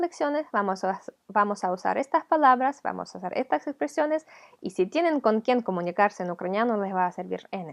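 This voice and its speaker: Her fairly high voice moves through very wide pitch swings as the woman talks at a fairly quick pace. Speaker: language teacher. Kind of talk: tutorial.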